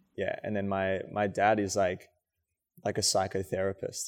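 In a very clean recording with a silent background, a man with an Australian accent talks at a fairly slow pace in a fairly low pitch. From rural New South Wales, Australia. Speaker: dancer and choreographer. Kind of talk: casual interview chat.

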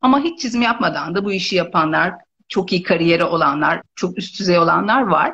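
Speaking at a moderate pace, a woman lets her pitch swing very widely. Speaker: visual merchandising trainer and consultant. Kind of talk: casual interview.

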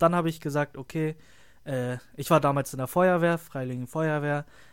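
Very cleanly recorded with a silent background, a man with a plain, everyday voice talks at a fairly high pitch and moderate pace with fairly even intonation. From northern Germany, Lüneburg. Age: 20s. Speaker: trainee photographer. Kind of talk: casual chat.

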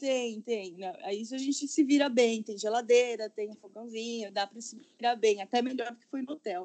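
A woman talks in a normal speaking voice, her pitch fairly high and its variation ordinary. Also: moderate pace, big swings in loudness. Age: 30s. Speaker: style consultant, digital nomad. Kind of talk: casual chat. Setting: home recording.

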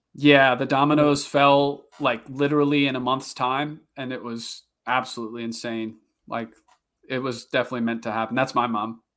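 In a very clean recording with a silent background, a man with a medium-pitched voice speaks at a moderate pace in a flat monotone. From New Orleans, Louisiana. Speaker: mountain bike YouTuber. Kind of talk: casual chat.

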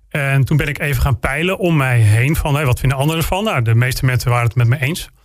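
Talking at a fairly quick pace, a man with a fairly high, somewhat breathy voice uses ordinary pitch variation. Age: 40s. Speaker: local politician and military instructor. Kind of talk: interview.

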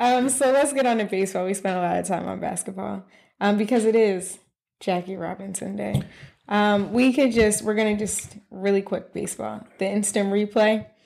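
A woman speaks in an ordinary speaking voice at medium pitch. Her pace is moderate and her intonation fairly even. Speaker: podcast co-host. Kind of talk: casual chat.

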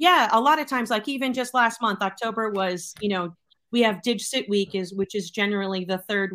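A woman with an American accent, medium pitch and a bright, sharp tone, at a fairly quick pace with ordinary pitch variation. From Boston, Massachusetts. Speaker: educator. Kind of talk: casual chat. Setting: video call.

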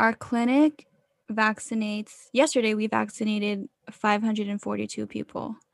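At a moderate pace, a woman with a fairly high pitch and an ordinary speaking voice talks in a dry, close sound with no echo. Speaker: guest, college student. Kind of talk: casual chat. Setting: video call.

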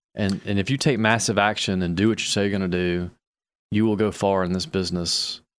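The speaker has an ordinary speaking voice and moves at a fairly quick pace with ordinary pitch variation. The recording is very clean, with a silent background. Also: man. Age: 40s. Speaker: real estate investor. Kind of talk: casual chat.

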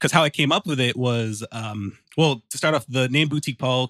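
The recording is very clean and dry, with a silent background and a close sound with no echo. A man speaks in a normal speaking voice at a medium pitch. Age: 20s. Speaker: music producer and podcaster. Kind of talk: casual chat.

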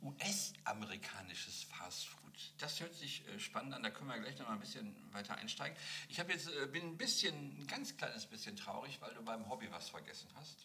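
Over noticeable background noise, a man with a fairly high pitch sounds animated, his voice swinging very widely in pitch. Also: moderate pace. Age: 50s. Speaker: podcast host. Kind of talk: casual chat.

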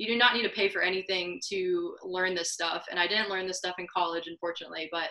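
A woman's bright, sharp voice at medium pitch, with an American accent, a fairly quick pace and fairly even intonation. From US Midwest, Missouri. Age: 20s. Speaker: entrepreneur and marketer. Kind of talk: interview. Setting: remote call.

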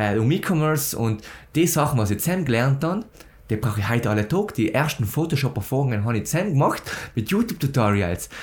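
A man with a medium pitch talks at a very fast pace, his intonation lively and his voice somewhat breathy. The recording is very clean, with a silent background. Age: young. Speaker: podcast host, agency founder. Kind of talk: podcast interview.

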